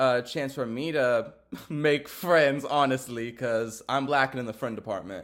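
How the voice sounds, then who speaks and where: A man with a Texan accent, medium-pitched, at a fairly slow pace, on a very clean recording with a silent background. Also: ordinary pitch variation. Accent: Texan American. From Texas. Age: 20s. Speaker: podcaster. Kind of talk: casual monologue. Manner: filler-heavy, says um a lot.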